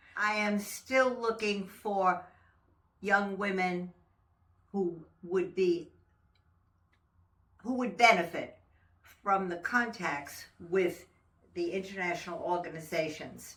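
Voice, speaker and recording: A woman speaks at a very slow pace and a medium pitch. Her pauses are long and frequent. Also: ordinary pitch variation. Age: 90s. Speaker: women's organization member. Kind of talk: interview reminiscence. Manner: halting.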